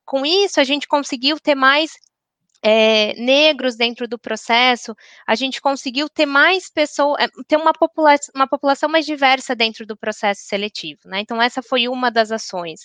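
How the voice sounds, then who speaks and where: With a bright, sharp tone and high pitch, a woman talks at a moderate pace with ordinary pitch variation, in a dry, close sound with no echo against a quiet background. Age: 30s. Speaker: corporate diversity and HR professional. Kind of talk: panel discussion.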